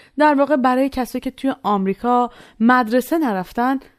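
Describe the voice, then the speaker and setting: A woman with a plain, everyday voice talks at a moderate pace with lively intonation, in a very clean, dry, close recording with a silent background and no echo. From Iran. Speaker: student podcast narrator. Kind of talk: scripted narration.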